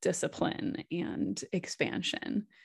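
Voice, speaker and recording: This woman's voice sits fairly low and carries vocal fry. She talks with a Midwestern American accent. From US Midwest, Wisconsin. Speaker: podcast host, life coach. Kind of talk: interview. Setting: remote call.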